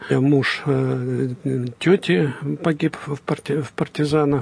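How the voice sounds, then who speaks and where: A man speaks over noticeable background noise. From Belarus, Vitebsk region. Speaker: professor and businessman. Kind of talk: interview.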